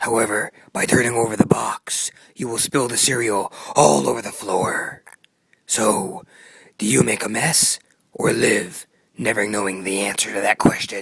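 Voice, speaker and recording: Using a raspy, cartoonish character voice, a man speaks at a fairly low pitch with long, frequent pauses. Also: moderate pace. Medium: puppet show. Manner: slow, solemn.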